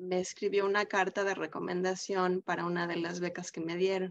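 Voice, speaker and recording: Here is a woman speaking. Her pace is fairly slow. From Mexico. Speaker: podcast host. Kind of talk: interview. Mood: warm, admiring. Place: home room. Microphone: video call.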